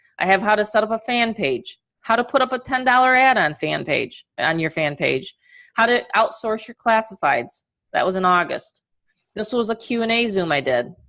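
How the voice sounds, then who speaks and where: A woman with a New York accent speaks at a moderate pace, with a fairly high pitch and a bright, sharp tone. Her intonation is lively, and the background is quiet. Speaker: online marketing coach. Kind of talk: webinar training presentation. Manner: casual, filler-heavy.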